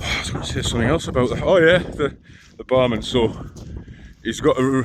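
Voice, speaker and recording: Noticeable background noise sits behind the speech. The pace is fairly quick, with ordinary pitch variation. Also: man, medium pitch for a man. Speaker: long-distance hiker vlogger. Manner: mumbles, speaks indistinctly.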